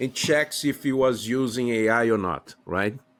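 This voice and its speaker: A man with a non-native accent, medium pitch and a fairly slow pace. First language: not English. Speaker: podcast host and university teacher. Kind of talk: interview conversation. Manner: halting, many filler sounds.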